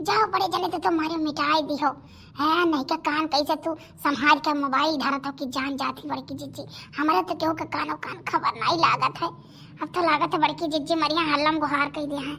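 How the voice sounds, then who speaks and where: A woman's high-pitched, cartoonish character voice at a fairly quick pace, with clear background noise. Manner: loud, scolding, accusatory.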